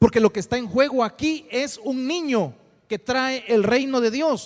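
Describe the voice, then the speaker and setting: An animated man at an extremely high pitch, with ordinary pitch variation. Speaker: preacher teaching a Bible class. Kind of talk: sermon. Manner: halting with repetitions.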